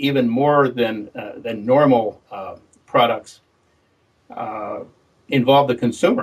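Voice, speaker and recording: Very slowly and with long, frequent pauses, a man speaks at a medium pitch with big swings in loudness. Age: 70s. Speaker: tech company founder. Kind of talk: interview. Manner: halting.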